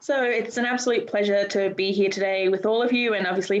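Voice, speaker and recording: Speaking with an Australian accent, a woman at medium pitch keeps a fairly quick pace and fairly even intonation. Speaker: menstrual health expert. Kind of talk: panel discussion.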